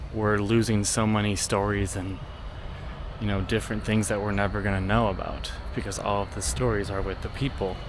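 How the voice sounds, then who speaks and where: A man talks at a fairly quick pace with fairly low pitch and fairly even intonation, and the room echo is audible. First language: not German speaker. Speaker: travel vlogger. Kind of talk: travel vlog narration. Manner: casual, filler-heavy.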